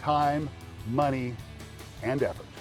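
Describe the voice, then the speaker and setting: A man speaks at a fairly slow pace in an upbeat tone, his pitch fairly high. Music plays in the background. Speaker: home improvement expert and TV presenter. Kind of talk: TV commercial read.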